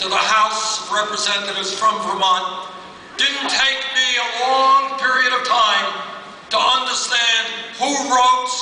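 The voice is raised and projected, at a fairly slow pace. Audible room echo surrounds it. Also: man. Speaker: politician at rally. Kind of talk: campaign speech. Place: hall.

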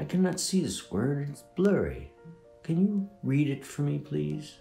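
Using a put-on character voice, a man speaks at a fairly high pitch with big pitch swings, vocal fry and a dark, mellow tone, with audible room echo and faint music in the background. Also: fairly slow pace.

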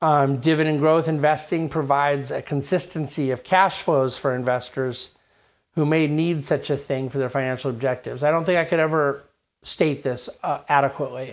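A man talks at a moderate pace in a fairly high pitch for a man. His intonation stays fairly even.

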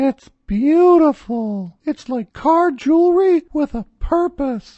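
A woman speaks in a high-pitched, cartoonish character voice with lively intonation at a very slow pace against a quiet background. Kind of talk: comic infomercial pitch. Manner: giddy, excitable.

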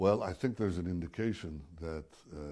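A man's voice sits very deep and low, somewhat breathy, with a dark, mellow tone. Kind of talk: interview answer. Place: office. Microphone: lapel.

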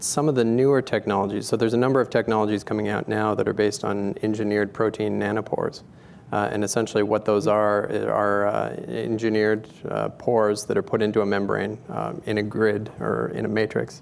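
Over light background noise, a man talks at a fairly quick pace, fairly low in pitch, with monotone, flat intonation. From Canada, Calgary, Alberta. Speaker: public health scientist; guest. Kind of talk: technical interview. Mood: calm, thoughtful. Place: stage. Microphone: lapel.

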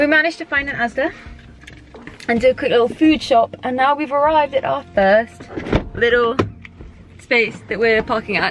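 Clear music plays behind a woman with a high voice, who speaks at a moderate pace with long, frequent pauses in a dry sound with no echo. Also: ordinary pitch variation. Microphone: phone near.

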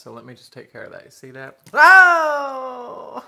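The speaker is a man with an American accent. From US South. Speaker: food vlogger; mukbang vlogger. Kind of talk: mukbang eating show. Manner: animated. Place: home room. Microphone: phone near.

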